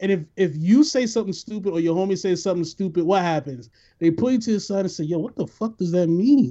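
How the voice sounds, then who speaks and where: A man with a New York accent speaks very fast in a high pitch. His intonation is lively. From New York, the Bronx. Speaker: podcast host. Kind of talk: casual chat. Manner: animated.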